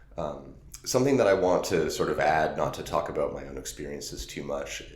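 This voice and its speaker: Background noise is noticeable throughout. The man's delivery runs fairly quick. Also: big swings in loudness. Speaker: podcast host. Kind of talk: casual interview talk.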